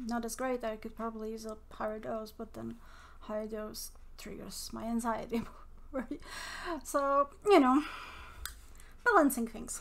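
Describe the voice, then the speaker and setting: A woman mumbles at a fairly slow pace and fairly high pitch, her intonation fairly even. Her loudness swings widely, and long, frequent pauses break up her speech. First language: not English. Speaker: mental health vlogger. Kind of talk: casual monologue. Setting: home recording. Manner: mumbling; rambling, halting.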